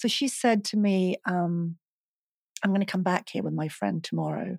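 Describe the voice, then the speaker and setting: A woman speaks with a Swedish accent. The recording is very clean and silent behind her, with a dry, close sound and no echo. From Sweden, Stockholm. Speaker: hypnotherapist and mindset coach. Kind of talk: casual interview conversation.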